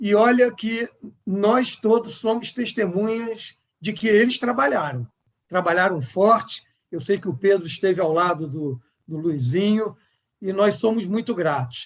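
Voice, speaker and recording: Lively intonation and a fairly slow pace, with a Rio de Janeiro accent. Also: man, high pitch for a man. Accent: Carioca. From Rio de Janeiro, Brazil. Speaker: healthcare executive. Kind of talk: panel discussion.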